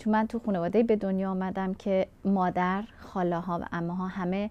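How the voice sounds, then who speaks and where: Over a quiet background, a woman speaks at medium pitch with a dark, mellow tone. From Iran, Kurdish family. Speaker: refugee craftswoman. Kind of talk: interview testimony.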